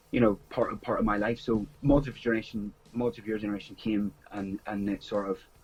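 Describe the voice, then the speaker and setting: With a strong Northern Irish accent, a man speaks in a monotone with flat intonation. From Northern Ireland, small town. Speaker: music writer and promoter. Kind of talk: interview. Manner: halting.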